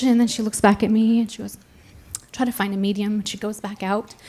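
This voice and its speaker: Noticeable background noise runs throughout. A woman talks over it. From raised in France, based in Arizona. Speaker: storyteller. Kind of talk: live storytelling performance on stage, comedic personal anecdote. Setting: live stage with audience. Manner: conversational, self-deprecating, comedic timing.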